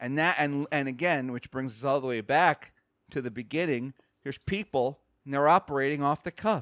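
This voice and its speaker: A man's animated, fairly high voice at a fairly quick pace, with ordinary pitch variation and a dry, close sound with no echo on a very clean recording with a silent background. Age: 30s. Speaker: podcaster. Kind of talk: casual chat.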